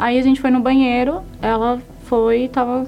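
Music plays in the background. Over it, a woman talks in a fairly high voice. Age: young. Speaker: lawyer giving faith testimony. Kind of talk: testimony.

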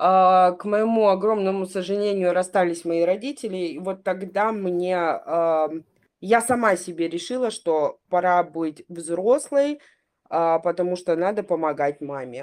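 A woman's unremarkable speaking voice at a medium pitch, with ordinary pitch variation, a fairly slow pace and a quiet background. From Crimea. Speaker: podcast panelist. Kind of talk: casual chat.

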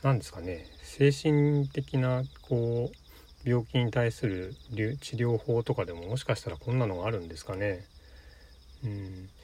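Somewhat breathy, a man talks at medium pitch with lively intonation. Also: fairly slow pace, big swings in loudness. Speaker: solo podcaster. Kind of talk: casual solo monologue. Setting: in a car. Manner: rambling with fillers.

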